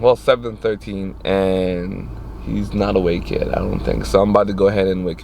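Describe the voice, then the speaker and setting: Noticeable background noise around a man's moderate pace. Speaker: car vlogger. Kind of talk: casual vlog.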